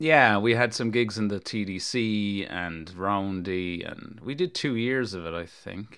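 Against a quiet background, a man with an American accent talks fairly slowly at a fairly low pitch, with ordinary pitch variation and hardly any pauses. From New York as a young child, then Kerry, Ireland. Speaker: musician. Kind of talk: casual interview chat. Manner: hesitant, many fillers and restarts.

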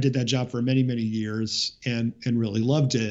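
Pitched at a medium level for a man, this is a plain, everyday voice. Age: 40s. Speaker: musician. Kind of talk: casual chat.

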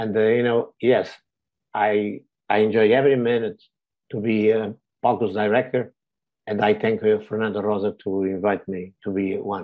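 A Portuguese accent at a moderate pace, with monotone, flat intonation and long, frequent pauses. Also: man, fairly low pitch for a man. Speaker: director of a community organization. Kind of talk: webinar presentation. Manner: halting, many fillers.

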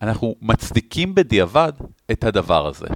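A man speaks with very wide swings in pitch. The sound is dry and close, with no echo. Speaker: podcast co-host. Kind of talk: casual chat.

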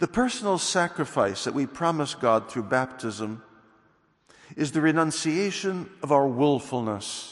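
A plain, everyday voice from a man, fairly high-pitched for a man, with lively intonation at a fairly slow pace. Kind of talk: homily at Mass, solemn sermon. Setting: church during Mass. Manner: formal, earnest, measured preaching; solemn, exhortative.

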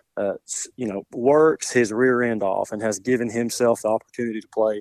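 A normal speaking voice, this man's is medium in pitch with fairly even intonation and a dry, close sound with no echo. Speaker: high school football coach. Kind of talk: interview with a radio host.

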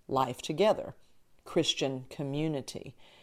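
Fairly slow pace in a very clean recording with a silent background. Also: woman. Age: 60s. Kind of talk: casual teaching monologue.

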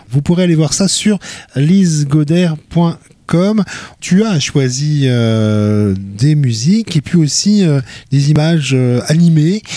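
At a very slow pace, the voice has a dark, mellow tone, lively intonation and very even loudness. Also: man, fairly high pitch for a man. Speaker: radio host. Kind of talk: interview about culture and media picks. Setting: studio.

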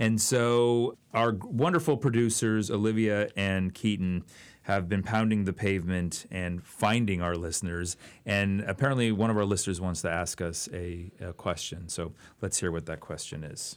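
A man with an American accent speaks in a plain, everyday voice at a fairly low pitch. His pace is moderate and his pitch variation ordinary. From Oakland, California. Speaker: history professor and podcast co-host. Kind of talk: casual chat.

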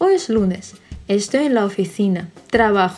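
Her intonation is lively, though the woman speaks at a very slow pace. Her pitch sits in the medium range. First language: Russian (speaking Spanish). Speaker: Spanish teacher. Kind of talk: reading aloud.

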